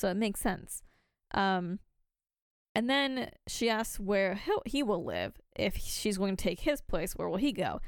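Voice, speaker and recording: The recording is very clean, with a silent background. A woman speaks at a medium pitch and a fairly slow pace with ordinary pitch variation. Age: 20s. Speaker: podcast co-host. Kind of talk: casual chat.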